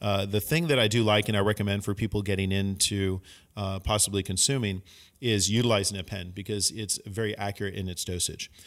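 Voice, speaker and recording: A man with an American accent speaks in a normal speaking voice, fairly low in pitch and fairly even in intonation. His pace is fairly quick, and the recording is very clean with a silent background. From Northern California. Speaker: cannabis industry media professional. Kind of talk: casual podcast chat.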